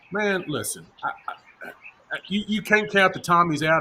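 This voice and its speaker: Noticeable background noise runs under the recording. A man speaks in a Tennessee accent. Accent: Gladeville, Tennessee. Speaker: football coach and pundit. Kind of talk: casual sports chat. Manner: halting, repeats words.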